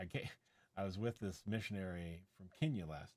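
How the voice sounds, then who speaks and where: A man speaks in a normal speaking voice. His pitch is fairly low, and his pace is moderate. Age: 60s. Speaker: tech reviewer and live streamer. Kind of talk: casual chat. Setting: live stream.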